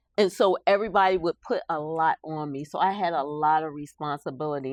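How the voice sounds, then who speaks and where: A woman with an American accent speaks at a fairly quick pace in a very deep, low voice, with ordinary pitch variation and a dry, close sound with no echo against a quiet background. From Philadelphia, US. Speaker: army veteran and author. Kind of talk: interview. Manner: loud.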